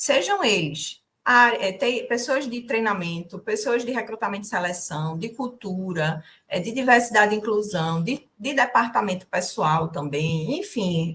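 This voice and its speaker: Speaking with a strong northeastern Brazilian accent, a woman with a fairly high pitch talks at a fairly slow pace with hardly any pauses and lively intonation. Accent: strong drawled northeastern Brazilian. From Brazil, Northeast (Recife, Pernambuco; family from the sertão). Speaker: corporate trainer, HR community co-founder. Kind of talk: live-stream interview.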